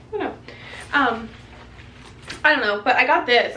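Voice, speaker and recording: There is noticeable background noise and audible room echo. Through it, a woman with a fairly high pitch speaks with ordinary pitch variation. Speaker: YouTuber and wedding photographer. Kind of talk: casual haul video talk. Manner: fast; chatty, filler-heavy.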